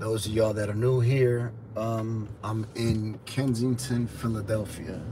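A man speaks over noticeable background noise. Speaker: street vlogger. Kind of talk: casual livestream chat. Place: car. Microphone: phone near.

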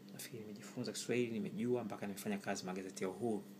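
Against noticeable background noise, a man speaks very fast at a fairly low pitch with ordinary pitch variation. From Tanzania, Kilimanjaro (Chagga area); Tanzania. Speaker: writer and language commentator. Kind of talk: opinion monologue. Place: kitchen. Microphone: phone near.

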